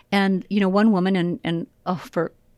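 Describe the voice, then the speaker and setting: Fairly low in pitch, this woman has an ordinary speaking voice. The sound is dry and close with no echo, and the recording is very clean against a silent background. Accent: American. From US Midwest, Illinois. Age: 60s. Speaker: professional trainer and consultant. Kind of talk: casual interview chat. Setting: studio.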